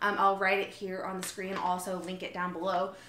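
A woman speaks fairly quickly, her voice echoing audibly off the room. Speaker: vlogger. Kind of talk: casual vlog chat. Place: kitchen. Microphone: phone near.

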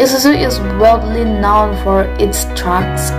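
A woman speaks at a very slow pace with clear music in the background. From Solo, Central Java, Indonesia. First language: Indonesian. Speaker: university student. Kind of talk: class presentation on a company. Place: home room. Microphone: phone near.

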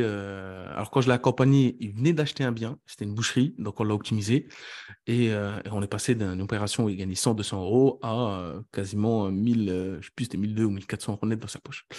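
Against a quiet background, a man with a fairly low pitch speaks at a moderate pace, with ordinary pitch variation and big swings in loudness. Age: 30s. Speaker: real estate investor and coach. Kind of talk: interview about his career story. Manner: halting, with many repetitions.

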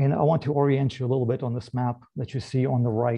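A man talks at a fairly quick pace over a quiet background. His medium-pitched voice is somewhat breathy, with ordinary pitch variation. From Moldova. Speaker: government agency director; presenter. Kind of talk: presentation. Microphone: video call.

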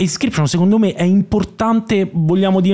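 Over a quiet background, a man talks with a high pitch. His pace is fairly quick. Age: 30s. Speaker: comedy writer and actor. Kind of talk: casual chat. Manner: halting. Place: studio. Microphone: studio mic.

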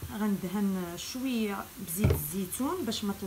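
A woman at a fairly slow pace with ordinary pitch variation and noticeable background noise. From Morocco. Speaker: cooking channel host. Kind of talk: cooking tutorial. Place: kitchen. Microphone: phone near.

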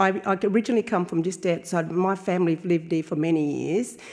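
Against a quiet background, a woman talks at a very fast pace with a fairly low pitch, a dark, mellow tone and ordinary pitch variation. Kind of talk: welcome speech. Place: hall. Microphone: podium.

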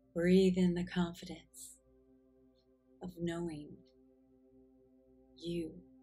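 A woman speaks very slowly in a flat monotone at a fairly low pitch, with long, frequent pauses and music in the background. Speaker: guided meditation guide. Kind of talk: guided meditation narration. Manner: slow, calm, soothing, with long pauses.

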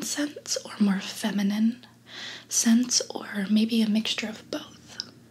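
Soft-spoken, a woman talks at a very slow pace. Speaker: perfume consultant roleplay host. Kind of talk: soft-spoken roleplay chat. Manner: soft-spoken, hushed ASMR voice. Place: home room.

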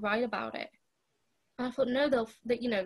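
A woman with fairly even intonation against a quiet background. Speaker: remote podcast guest. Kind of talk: interview answer. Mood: serious, reflective. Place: home room. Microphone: video call.

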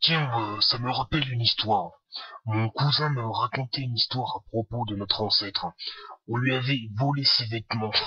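Speaking at a moderate pace, a man does a put-on character voice at medium pitch. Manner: grumpy, aggressive, boastful.

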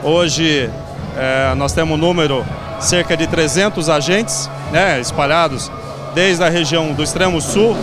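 With clear music in the background and a dry sound with no echo, a man talks at a fairly slow pace with ordinary pitch variation. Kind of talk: interview answer. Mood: upbeat, promotional. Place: shop. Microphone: handheld.

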